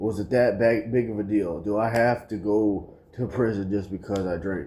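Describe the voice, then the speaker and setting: Dark and mellow, a man's fairly low voice moves at a moderate pace. His intonation stays fairly even. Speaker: vlogger. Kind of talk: emotional confession vlog. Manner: loud at times; quiet when calm.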